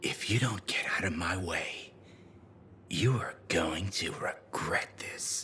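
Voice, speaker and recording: A man's whispered, put-on character voice at a fairly slow pace. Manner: threatening.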